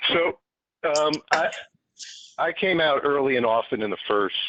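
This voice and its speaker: A plain, everyday voice, with lively intonation at a moderate pace. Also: man. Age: 60s. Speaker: protester giving public testimony. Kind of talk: public testimony.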